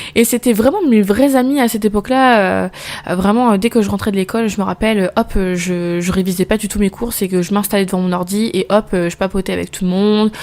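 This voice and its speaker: A woman speaks at a very fast pace with fairly even intonation. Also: medium pitch for a woman. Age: 20s. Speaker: postnatal caregiver and podcast host. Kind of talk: casual personal monologue. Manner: hesitant, stumbles over words.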